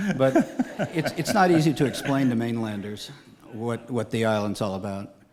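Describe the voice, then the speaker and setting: Against noticeable background noise, a man with an American accent talks at medium pitch and a moderate pace, with ordinary pitch variation and long, frequent pauses. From Galveston, Texas. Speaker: island resident, civic figure. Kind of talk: radio interview.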